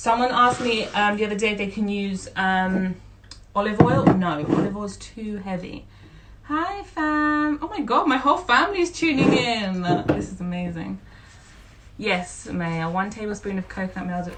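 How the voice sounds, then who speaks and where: The woman's voice sits at a medium pitch and moves at a moderate pace. Her pitch swings very widely and her loudness shifts a lot, over audible room echo and noticeable background noise. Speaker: home cooking instructor. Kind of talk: live cooking tutorial. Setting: Instagram live stream. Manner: casual, chatty with filler words.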